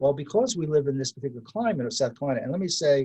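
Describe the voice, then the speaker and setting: A somewhat breathy man's voice, fairly high in pitch, with a dark, mellow tone. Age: 70s. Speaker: amateur winemaker. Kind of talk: interview. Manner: halting, frequent repetitions and fillers.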